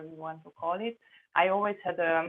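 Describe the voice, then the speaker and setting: A woman with a fairly low pitch talks at a fairly slow pace. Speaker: remote viewing practitioner. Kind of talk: group video discussion.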